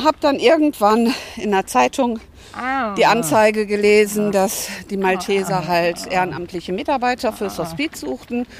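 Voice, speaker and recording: At a very slow pace, the voice carries lively intonation. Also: woman. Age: 60s. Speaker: hospice volunteer. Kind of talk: interview on a walk. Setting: outdoors.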